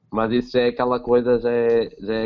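This man's voice sits at a medium pitch with monotone, flat intonation. He moves at a fairly quick pace. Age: 20s. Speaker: film podcast co-host. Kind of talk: casual chat.

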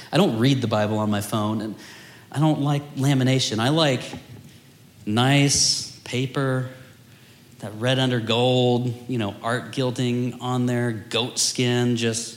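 A man at a very slow pace with fairly even intonation, over noticeable background noise. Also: medium pitch for a man. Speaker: teacher leading a house of prayer. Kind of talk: teaching/Bible study with prayer. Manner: earnest, fervent prayer; casual, self-deprecating humor.

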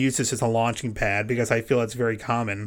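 Here a man talks with an American accent. His voice is medium in pitch. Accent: doesn't sound Texan. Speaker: podcast host and comedian. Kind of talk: casual interview chat.

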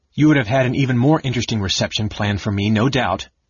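A man's growling, put-on character voice at medium pitch, very fast pace and ordinary pitch variation. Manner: angry, snarling, cold.

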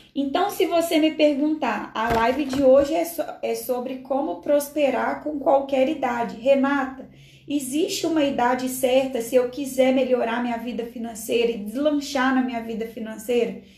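Her voice high-pitched and animated, a woman speaks amid audible room echo and noticeable background noise. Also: ordinary pitch variation, fairly slow pace. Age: 40s. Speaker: financial prosperity coach and live streamer. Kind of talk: motivational live stream talk. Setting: live video stream from home.

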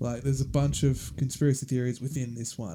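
A man with an Australian accent, a dark, mellow tone, and a fairly quick pace. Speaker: podcast host. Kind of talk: casual chat. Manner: casual, joking.

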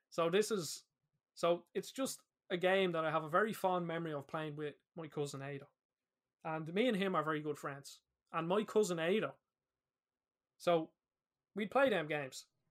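Someone with an Irish accent speaks at a moderate pace with ordinary pitch variation and long, frequent pauses. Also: man, high pitch for a man. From Ireland. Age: 20s. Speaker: podcast host. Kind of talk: casual chat.

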